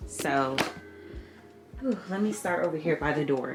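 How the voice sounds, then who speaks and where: A woman talks here. Behind her sits noticeable background noise. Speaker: lifestyle vlogger. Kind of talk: casual vlog talk to camera. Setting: at home, home office. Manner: animated.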